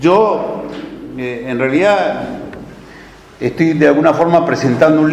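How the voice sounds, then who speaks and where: Audible room echo and noticeable background noise accompany talk at a fairly slow pace. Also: man. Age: 60s. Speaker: author and political speaker. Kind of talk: lecture. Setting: talk for a study centre's course.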